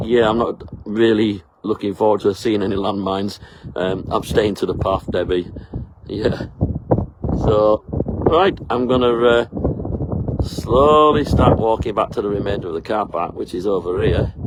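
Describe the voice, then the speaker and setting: Over noticeable background noise, a man speaks at a moderate pace with a fairly low pitch. His pitch varies in an ordinary way, and he leaves long, frequent pauses. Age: 60s. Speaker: travel vlogger. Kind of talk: casual vlog narration. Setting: outdoors on a hiking trail. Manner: halting, with many fillers.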